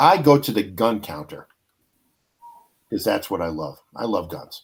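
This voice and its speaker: A man's fairly low voice at a fairly slow pace, with very wide pitch swings and big swings in loudness. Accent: American. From New York, Brooklyn. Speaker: podcast host. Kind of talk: casual chat. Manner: animated storytelling.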